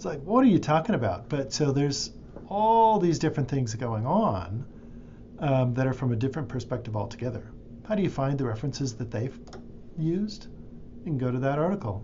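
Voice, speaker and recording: A man talks at a fairly quick pace in a medium pitch, somewhat breathy, with very wide pitch swings. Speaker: librarian or instructor. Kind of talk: screen-recorded tutorial. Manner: casual, with fillers.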